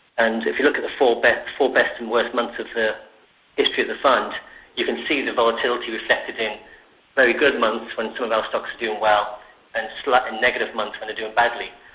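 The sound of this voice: A man at a fairly quick pace with little pitch movement and audible room echo. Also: medium pitch for a man.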